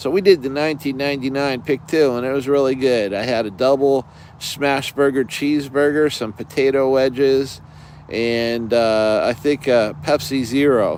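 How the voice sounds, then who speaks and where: Speaking at a moderate pace with fairly even intonation, a man with an American accent has a medium pitch. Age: 60s. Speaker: camping vlogger. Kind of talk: casual live stream chat. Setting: inside a tent outdoors. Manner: halting, many fillers.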